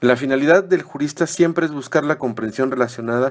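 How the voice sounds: With fairly even intonation, a man talks at a medium pitch.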